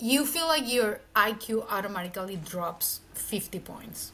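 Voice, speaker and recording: A woman with a Mexican accent and very wide pitch swings. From Mexico City. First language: Spanish. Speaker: marketing executive. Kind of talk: interview conversation. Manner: casual, lots of filler words.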